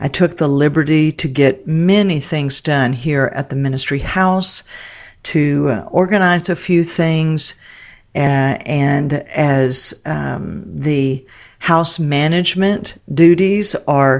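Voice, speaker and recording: A woman with a very deep, low voice speaks at a very slow pace on a very clean recording with a silent background. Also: ordinary pitch variation. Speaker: podcast host and ministry leader. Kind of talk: reflective monologue podcast. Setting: home office. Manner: quieter than usual.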